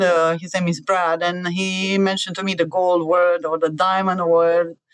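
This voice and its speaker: This woman has an Eastern European accent and a fairly low pitch. She talks at a moderate pace with fairly even intonation. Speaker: cybersecurity adviser. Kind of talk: podcast interview. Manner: hesitant with many fillers.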